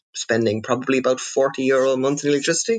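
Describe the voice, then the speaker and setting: A man with a Cork accent. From Netherlands. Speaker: electric car owner. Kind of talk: podcast interview. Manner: halting, many fillers.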